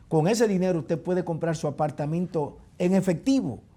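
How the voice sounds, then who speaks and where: A man with a high voice and a dark, mellow tone speaks at a fairly quick pace with ordinary pitch variation, recorded very cleanly against a silent background. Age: 60s. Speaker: real estate advisor. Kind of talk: advice talk on a TV show. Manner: explanatory.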